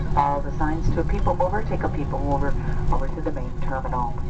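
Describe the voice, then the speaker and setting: Over loud background noise, the speaker moves along at a fairly quick pace. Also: man. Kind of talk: arrival announcement. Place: plane.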